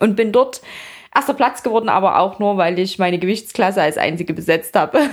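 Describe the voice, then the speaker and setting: A woman uses a normal speaking voice at a medium pitch, talking at a fairly quick pace with lively intonation. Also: very even loudness. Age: 30s. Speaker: fitness athlete and influencer. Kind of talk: casual interview.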